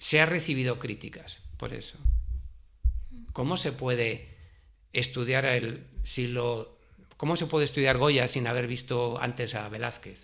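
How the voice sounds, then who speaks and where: Speaking at a very slow pace with long, frequent pauses, a man keeps his intonation fairly even. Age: 60s. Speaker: retired history teacher. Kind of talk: interview.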